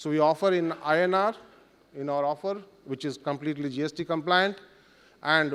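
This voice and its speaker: A man speaks with a Bengali accent at a fairly high pitch. His intonation stays fairly even. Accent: Indian English, Bengali. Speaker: company country manager. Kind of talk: conference presentation. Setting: summit stage in hotel with audience. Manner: halting, many fillers.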